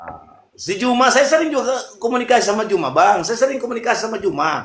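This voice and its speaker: With audible room echo, a man talks at a very fast pace in an extremely high pitch with lively intonation. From Mandar, West Sulawesi, Indonesia. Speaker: caller in online religious debate room. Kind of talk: casual debate chat.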